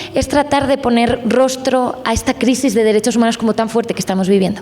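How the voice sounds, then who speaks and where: Over noticeable background noise, a woman with a Spanish accent talks at a fairly quick pace in a high pitch. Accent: Spanish (Spain). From Spain. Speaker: journalist. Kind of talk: panel discussion.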